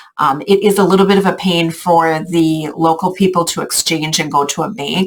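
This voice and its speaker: A woman speaks with a fairly low pitch and fairly even intonation. There is noticeable background noise. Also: moderate pace. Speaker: travel group organizer. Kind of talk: casual video update to travel group. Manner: filler-heavy, informal.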